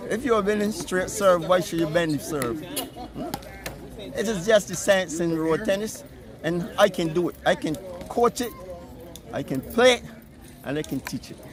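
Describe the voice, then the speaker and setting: A man's high-pitched voice with lively intonation and big swings in loudness, at a moderate pace with long, frequent pauses, over noticeable background noise. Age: 70s. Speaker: road tennis player. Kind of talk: interview.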